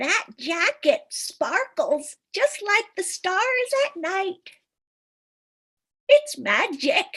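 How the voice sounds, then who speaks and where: A woman in a put-on character voice sounds squeaky and sing-song at an extremely high pitch, with very wide pitch swings and a very slow pace. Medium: stage play. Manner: rambling, singsong, giggly.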